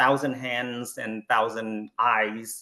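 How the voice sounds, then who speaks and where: A man speaks with a Vietnamese accent. He talks at a very slow pace. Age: 50s. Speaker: Buddhist panelist. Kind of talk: panel talk. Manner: halting, many fillers.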